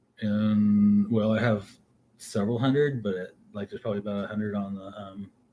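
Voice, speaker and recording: The man's voice sits fairly low in pitch, dark and mellow in tone, with monotone, flat intonation. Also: fairly quick pace. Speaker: livestream host, herbal medicine teacher and seed grower. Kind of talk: casual livestream talk. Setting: home studio livestream. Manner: hesitant, many fillers and repeats.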